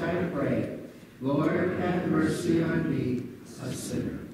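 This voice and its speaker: Loud background noise and audible room echo surround a man speaking at a very slow pace. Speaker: minister leading worship. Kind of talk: liturgy. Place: church. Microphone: camera far.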